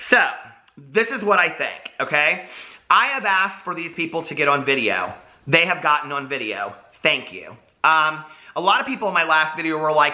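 A man speaks at a moderate pace with lively intonation and big swings in loudness. The background is quiet. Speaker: drama commentary vlogger. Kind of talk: commentary. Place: home room.

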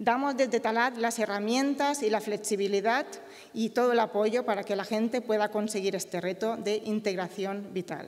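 A woman with a Mallorcan accent, fairly high pitch, fairly even intonation and a moderate pace, over a quiet background. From Mallorca, Balearic Islands. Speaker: company co-founder and engineer. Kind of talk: award acceptance speech. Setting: stage with audience. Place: stage. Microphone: podium.

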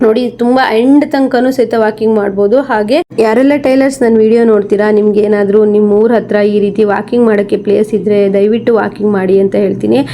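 A woman speaks at a fairly high pitch with fairly even intonation and very even loudness. Noticeable background noise runs behind her. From Karnataka, Shivamogga district (Anandapura). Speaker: tailor and tailoring video creator. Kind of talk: vlog walk-and-talk. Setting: outdoors at railway station.

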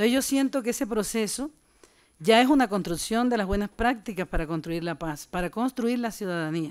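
Fairly high-pitched woman's voice at a fairly quick pace over a quiet background. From Colombian Caribbean, Montes de María; Colombia. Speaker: community activist; speaker. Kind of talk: panel discussion. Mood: earnest, reflective. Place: hall. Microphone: podium.

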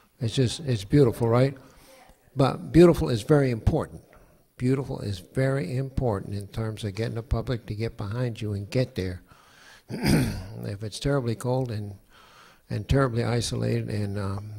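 Speaking at a moderate pace, a man with a dark, mellow, somewhat breathy tone uses ordinary pitch variation while his loudness swings widely. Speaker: guest. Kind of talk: conference talk. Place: hall. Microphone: handheld.

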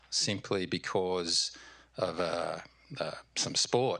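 Against a quiet background, a man with an Australian accent talks in a bright, sharp tone with ordinary pitch variation. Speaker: audience member asking question; audience member. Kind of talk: audience question. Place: hall. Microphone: handheld.

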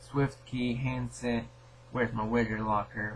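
Over light background noise, a man talks at a moderate pace with ordinary pitch variation. His voice carries vocal fry. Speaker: app reviewer. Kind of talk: tutorial. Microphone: phone near.

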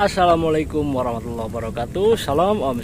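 The speech is very fast, with noticeable background noise. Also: man, dry sound with no echo. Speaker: fishing vlogger. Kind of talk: casual vlog chat. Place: waterside. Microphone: phone near.

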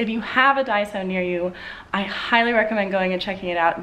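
Ordinary pitch variation and a moderate pace from a woman. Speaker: lifestyle vlogger. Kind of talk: casual vlog chat. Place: home room.

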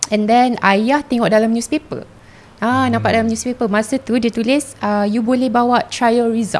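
This woman has a plain, everyday voice with a fairly high pitch. She speaks at a moderate pace, with very even loudness and fairly even intonation. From Malaysia, Kuala Lumpur; Malaysia. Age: 20s. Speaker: flight attendant; podcast guest. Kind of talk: casual chat.

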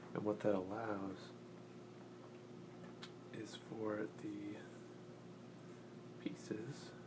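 The speech moves at a very slow pace with long, frequent pauses. Noticeable background noise runs underneath. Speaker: ASMR creator. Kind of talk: casual talk to camera while assembling a puzzle.

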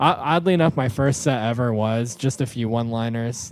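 A man with an American accent and a normal speaking voice talks at a fairly quick pace in a medium pitch with ordinary pitch variation. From rural New York, Orange County. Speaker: stand-up comedian. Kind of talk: casual chat.

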